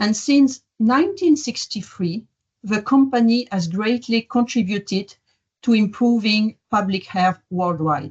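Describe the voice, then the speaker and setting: A woman with a French accent talks at a fairly slow pace and a fairly high pitch. Her intonation is lively and her voice somewhat breathy. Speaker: diagnostics company executive. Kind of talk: opening remarks.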